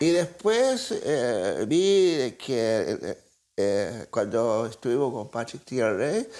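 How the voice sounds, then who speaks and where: At a very slow pace, a man's dark, mellow voice makes very wide pitch swings on a very clean recording with a silent background. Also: medium pitch for a man. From southern Chile, Araucanía region. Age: 80s+. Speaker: writer. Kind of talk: interview. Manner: halting, many hesitations.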